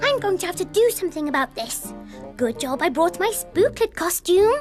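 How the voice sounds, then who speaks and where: A female-sounding cartoonish character voice at an extremely high pitch, with clear music in the background. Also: moderate pace. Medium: puppet. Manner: playful.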